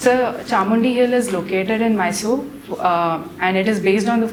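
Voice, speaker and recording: A woman with a Marathi accent at medium pitch and a moderate pace, amid noticeable background noise and audible room echo. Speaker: civil services candidate. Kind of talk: mock job interview. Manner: formal; halting.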